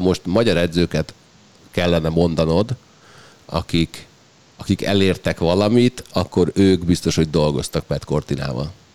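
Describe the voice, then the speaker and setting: Speaking at a fairly slow pace, a man with a very deep, low pitch and ordinary pitch variation is heard in a dry, close sound with no echo. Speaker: sports podcast host. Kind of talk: casual chat.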